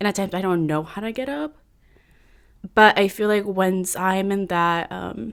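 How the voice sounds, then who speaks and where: In a Californian accent, a woman speaks at a moderate pace with medium pitch and ordinary pitch variation, leaving long, frequent pauses. The recording is very clean, with a silent background. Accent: Californian American English. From San Francisco Bay Area, California. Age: 20s. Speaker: podcast guest. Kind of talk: casual interview chat.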